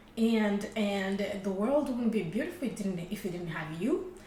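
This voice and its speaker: Her voice is fairly high-pitched, and this woman speaks at a fairly slow pace. Noticeable background noise and audible room echo fill the recording. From Rwanda. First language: Kinyarwanda. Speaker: podcast co-host. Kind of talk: casual chat. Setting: studio. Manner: halting.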